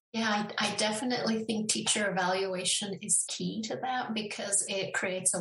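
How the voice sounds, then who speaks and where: Over noticeable background noise, a woman with a Spanish accent speaks with fairly even intonation. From Denver, Colorado (north side), born in Mexico. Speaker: education professor. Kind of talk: interview.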